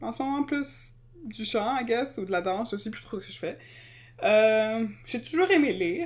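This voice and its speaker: The speaker talks at a fairly slow pace in a Quebec accent, with lively intonation. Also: woman, fairly high pitch for a woman. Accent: Québécois French. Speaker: podcast co-host. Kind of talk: casual chat.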